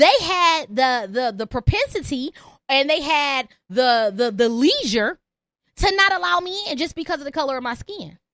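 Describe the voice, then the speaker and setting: A woman speaks at a moderate pace in a raised, projected voice, her animated, bright and sharp tone swinging very widely in pitch, with a dry, close sound and no echo. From Detroit, Michigan. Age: 30s. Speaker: comedian and podcast host. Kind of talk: live call-in podcast monologue.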